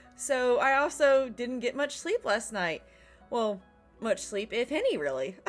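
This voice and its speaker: A woman speaks at a fairly slow pace with a high pitch and lively intonation, music playing in the background. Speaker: gaming let's play host reading visual novel aloud. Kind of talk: casual talk to camera and game text reading.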